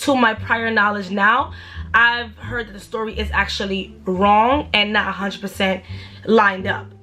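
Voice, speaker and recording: Noticeable background noise sits behind a woman's voice. She speaks at a medium pitch with ordinary pitch variation. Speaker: YouTuber telling a story. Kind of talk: storytime monologue. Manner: fast.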